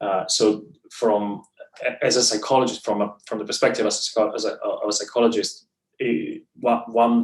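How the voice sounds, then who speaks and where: At a moderate pace, a man talks in an Italian accent. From Italy. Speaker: clinical psychologist in training. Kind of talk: interview answer.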